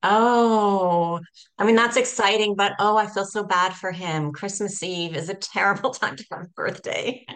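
In a plain, everyday voice with a Canadian accent, a woman talks at a moderate pace, her medium pitch showing ordinary variation against a quiet background. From Canada. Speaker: podcast host. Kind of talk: interview.

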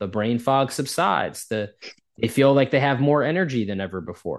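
A man with an ordinary speaking voice, an American accent, medium pitch, lively intonation and a moderate pace, against a quiet background. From US Northeast. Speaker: indoor air quality expert. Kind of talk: interview.

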